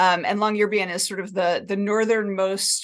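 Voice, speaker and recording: A woman with an American accent speaks in a plain, everyday voice at a medium pitch. Her intonation is fairly even, and the background is quiet. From New Jersey, US. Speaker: cognitive science professor. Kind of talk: academic talk.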